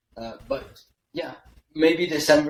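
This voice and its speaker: A man with a French accent at a moderate pace. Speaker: email copywriter, agency founder. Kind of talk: podcast interview. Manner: hesitant, many fillers and restarts.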